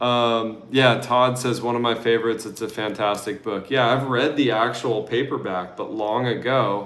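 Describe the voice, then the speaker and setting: With hardly any pauses and fairly even intonation, a man with an American accent speaks amid audible room echo. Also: medium pitch for a man, moderate pace. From Oregon, US. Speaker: travel vlogger. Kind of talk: casual livestream Q&A chat. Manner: relaxed, casual.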